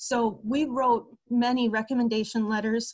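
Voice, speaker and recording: Her voice is fairly high and somewhat breathy. The woman speaks with monotone, flat intonation. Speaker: long-term care ombudsman. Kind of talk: webinar presentation.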